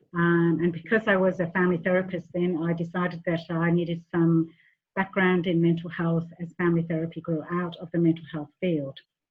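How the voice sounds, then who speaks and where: A woman with a fairly low voice, fairly quick pace and monotone, flat intonation. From England and Western Australia. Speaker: family therapist. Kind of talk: online workshop presentation. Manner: hesitant, frequent ums.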